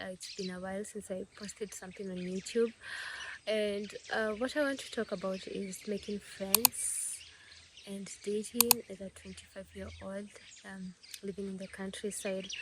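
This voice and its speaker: A woman's medium-pitched monotone in a Kenyan accent, at a moderate pace, with big swings in loudness and noticeable background noise. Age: 20s. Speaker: vlogger. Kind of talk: casual vlog talk. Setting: at home.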